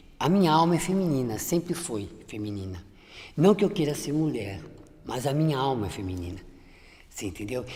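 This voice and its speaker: Dark and mellow in tone, this voice moves at a moderate pace with long, frequent pauses. Its pitch swings very widely, and the room echo is audible. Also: woman, very deep, low pitch for a woman. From Brazil, São Paulo interior (Limeira). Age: 60s. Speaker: image consultant. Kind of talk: testimony. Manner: halting, frequent repetitions.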